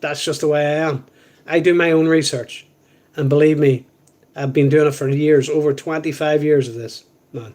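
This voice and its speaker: Pausing long and often, a man with a Northern Irish accent speaks at a fairly high pitch in a monotone, flat intonation. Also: moderate pace. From Northern Ireland. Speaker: live stream co-host. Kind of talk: casual chat. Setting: live stream.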